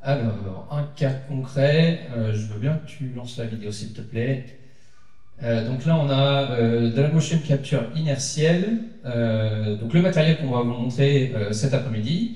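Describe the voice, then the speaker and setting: Speaking very slowly amid noticeable background noise and audible room echo, a man's medium-pitched voice shows ordinary pitch variation. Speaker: conference speaker, researcher. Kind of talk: conference talk. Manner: hesitant, many fillers.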